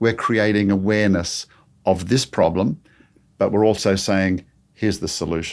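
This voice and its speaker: A man with an Australian accent speaks at a moderate pace in a fairly low pitch, his intonation fairly even and broken by long, frequent pauses. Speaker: creation ministry speaker. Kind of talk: interview conversation.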